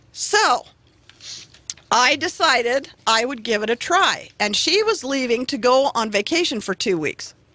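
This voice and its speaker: The voice moves through very wide pitch swings at a fairly slow pace over noticeable background noise. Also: woman, high pitch for a woman. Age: 50s. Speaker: radio show guest. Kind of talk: casual chat.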